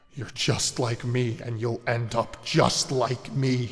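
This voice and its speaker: A man uses a put-on character voice at a medium pitch. He speaks at a fairly slow pace over light background noise. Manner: menacing.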